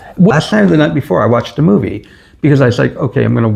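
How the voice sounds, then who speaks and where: A man talks in an American accent with lively intonation. His voice carries vocal fry. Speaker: expat vlogger. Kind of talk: casual chat.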